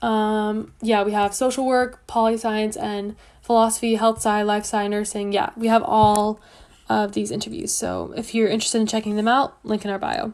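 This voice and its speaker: With a Canadian accent, a woman speaks at a fairly high pitch. Her intonation stays fairly even over a quiet background. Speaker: student advice livestream host. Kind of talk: livestream Q&A. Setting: livestream. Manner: fast.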